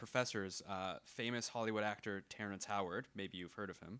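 A man's bright, sharp voice with a Canadian accent, in a very clean recording with a silent background. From Canada. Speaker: podcast co-host. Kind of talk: casual comedic banter.

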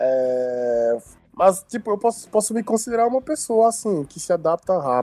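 Fairly slow delivery from a man, his pitch swinging very widely. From Benin. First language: Nagô (Yoruba) (speaking Portuguese). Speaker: student and cultural event promoter. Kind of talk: interview. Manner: halting.

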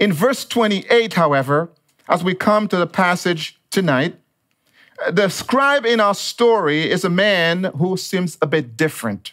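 A high-pitched man at a fairly slow pace, his intonation lively. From Dominica. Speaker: pastor. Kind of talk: sermon.

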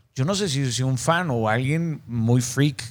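A man talks in a plain, everyday voice at a medium pitch with ordinary pitch variation. The recording is very clean, with a silent background. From Mexico, Mazatlán, Sinaloa. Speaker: podcast host. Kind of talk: interview.

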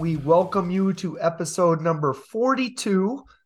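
Over a silent background in a very clean recording, a man speaks very slowly in a high voice with ordinary pitch variation. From Michigan. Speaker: podcast host. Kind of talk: casual interview.

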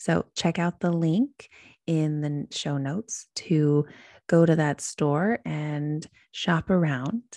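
In an American accent, a woman speaks very slowly with a very deep, low pitch, a dark, mellow tone and ordinary pitch variation. The recording is very clean and dry, close and without echo, over a silent background. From US Midwest. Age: 30s. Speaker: podcast host, yoga and wellness coach. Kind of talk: solo podcast monologue.

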